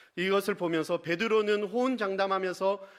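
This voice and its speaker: Speaking with a Busan accent at a fairly quick pace, a man uses a high pitch and ordinary pitch variation in a very clean recording with a silent background. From Busan, South Korea. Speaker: pastor. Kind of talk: sermon.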